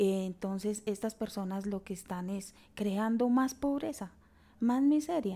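A woman of medium pitch and a dark, mellow tone speaks at a fairly slow pace with ordinary pitch variation. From Colombia, Chiquinquirá, western Boyacá. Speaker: community leader in the emerald sector. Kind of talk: interview.

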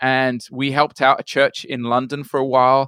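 A man's bright, sharp voice at a moderate pace, on a very clean recording with a silent background and a dry, close sound with no echo. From Brazil (born in UK, raised in Brazil from age eight). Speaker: missionary, mission director. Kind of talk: interview conversation.

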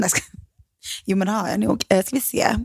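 A woman's voice with vocal fry and ordinary pitch variation. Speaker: podcast co-host. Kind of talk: casual chat. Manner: fast, stressed and loud; animated.

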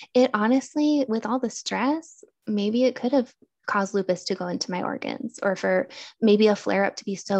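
Against a quiet background, a woman with a plain, everyday voice talks at a fairly quick pace with ordinary pitch variation. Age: 30s. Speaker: therapist with chronic illness. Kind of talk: interview. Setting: video call.

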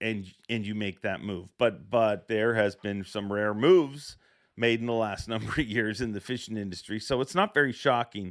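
On a very clean recording with a silent background, a man has a plain, everyday voice, a medium pitch and a moderate pace. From Canada. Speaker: fishing podcast host and tournament emcee. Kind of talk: casual interview podcast.

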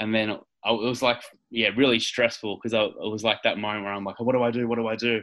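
Very fast and monotone, a man with an Australian accent speaks at a medium pitch. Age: 30s. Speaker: professional wrestler. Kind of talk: interview.

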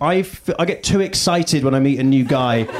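A man with a British accent speaks at a fairly high pitch on a very clean recording with a silent background. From UK. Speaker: stand-up comedian. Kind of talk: stand-up comedy. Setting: stage with audience.

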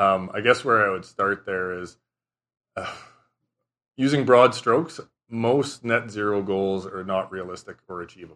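Over a quiet background, a man with a bright, sharp tone and fairly low pitch talks at a moderate pace, with ordinary pitch variation, big swings in loudness and long, frequent pauses. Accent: Canadian Prairies. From southern Saskatchewan, Canada. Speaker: environmental and regulatory lawyer. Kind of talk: interview.

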